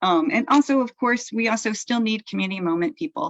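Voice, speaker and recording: Speaking with an American accent, a woman uses very wide pitch swings, and the sound is dry and close with no echo. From US East Coast. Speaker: event emcee. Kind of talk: casual announcements.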